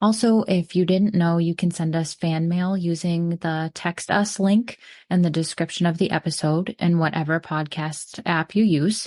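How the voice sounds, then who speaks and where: Against a quiet background, a woman uses a normal speaking voice at a fairly low pitch and a moderate pace, with fairly even intonation and a dry, close sound with no echo. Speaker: podcast host. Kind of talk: scripted narration.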